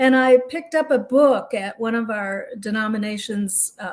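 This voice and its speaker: A woman speaks in a somewhat breathy way. Her pitch variation is ordinary. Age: 70s. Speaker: retired minister. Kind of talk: interview.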